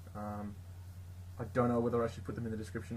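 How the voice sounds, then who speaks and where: Here a man speaks with an Australian accent. His voice is somewhat breathy. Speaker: tabletop gaming YouTuber. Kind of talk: casual tutorial. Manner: hesitant, many fillers.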